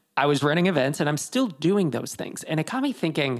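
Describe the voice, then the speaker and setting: With vocal fry and a fairly high pitch, a man races along at a very fast pace through very wide pitch swings, captured in a very clean recording with a silent background. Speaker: podcast host. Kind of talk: casual interview chat.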